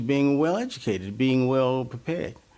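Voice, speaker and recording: The speaker is a man. He has a dark, mellow tone. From Washington, D.C. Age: 80s+. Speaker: professor. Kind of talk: interview. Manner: halting, repeats words.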